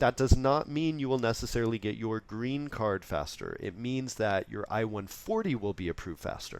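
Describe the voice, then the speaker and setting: A man with an unremarkable speaking voice talks at a medium pitch and a moderate pace, with lively intonation and hardly any pauses. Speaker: immigration lawyer. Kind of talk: webinar presentation. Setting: online webinar.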